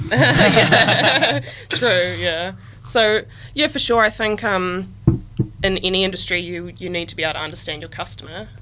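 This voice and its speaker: With a Southland New Zealand accent, a woman talks at a moderate pace over music in the background, her voice making very wide pitch swings and big swings in loudness. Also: fairly low pitch for a woman. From New Zealand, Southland. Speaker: agritech startup team member. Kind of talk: podcast interview.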